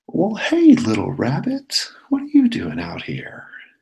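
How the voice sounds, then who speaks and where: A man puts on a character voice, pitched high and delivered at a fairly slow pace, with big swings in loudness. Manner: sly, predatory.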